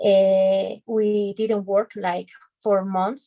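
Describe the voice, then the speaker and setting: Speech comes at a very slow pace in a Spanish accent, with monotone, flat intonation. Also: woman. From Bolivia, Cochabamba. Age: 30s. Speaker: lawyer. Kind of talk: self-introduction in English class. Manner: halting.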